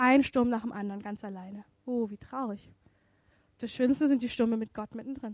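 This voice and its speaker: In a dry, close sound with no echo, a woman speaks at a moderate pace with a high pitch and an animated tone. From Indian background. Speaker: preacher. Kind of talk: sermon.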